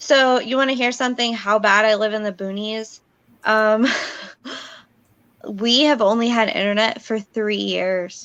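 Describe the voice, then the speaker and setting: A woman speaks at a fairly slow pace with a fairly high pitch. Her intonation stays fairly even, broken by long, frequent pauses. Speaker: live stream participant. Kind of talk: casual chat. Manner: quiet.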